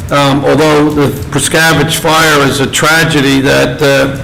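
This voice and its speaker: With noticeable background noise and audible room echo, a man talks in a flat monotone at a fairly high pitch. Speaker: township committee official. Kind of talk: public meeting remarks; reading a proclamation. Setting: township meeting room. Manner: loud.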